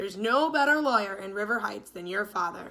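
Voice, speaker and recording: Doing a put-on character voice, a woman talks at a fairly quick pace at medium pitch, with big swings in loudness. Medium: read story. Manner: warm, friendly.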